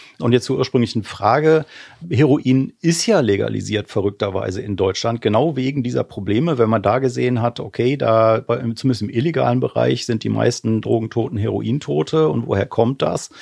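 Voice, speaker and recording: A man speaks at a medium pitch with vocal fry. His pitch varies in an ordinary way, and his pace is moderate. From western Germany, Remscheid near Wuppertal. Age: 40s. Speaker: cannabis lobby association director. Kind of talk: debate discussion.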